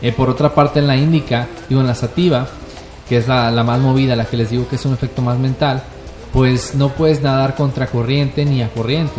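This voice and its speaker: With a Mexican accent, a man speaks at a medium pitch and a fairly quick pace over music in the background. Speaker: cannabis user guest. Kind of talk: casual chat. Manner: animated.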